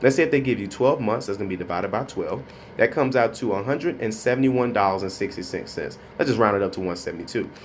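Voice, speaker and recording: A man at a very fast pace with lively intonation over light background noise. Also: medium pitch for a man. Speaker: credit consultant. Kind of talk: tutorial. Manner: casual, with many filler words. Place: office. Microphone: phone near.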